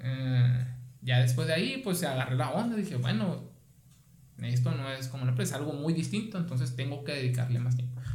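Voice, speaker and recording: Speaking at a fairly quick pace, a man uses a medium pitch with ordinary pitch variation, amid audible room echo and noticeable background noise. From Mexico, Sonora (Guaymas). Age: 30s. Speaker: physician. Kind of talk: casual interview.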